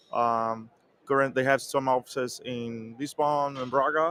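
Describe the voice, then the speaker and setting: A man's medium-pitched voice with a Portuguese accent and fairly even intonation, the sound dry and close with no echo. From Brazil, Recife. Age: 30s. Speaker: software QA engineer. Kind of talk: interview. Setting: conference venue. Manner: stutter.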